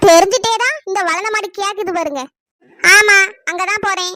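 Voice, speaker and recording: Putting on a squeaky character voice, a woman speaks at an extremely high pitch and a fairly slow pace with ordinary pitch variation. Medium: cartoon. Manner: defensive, sharp.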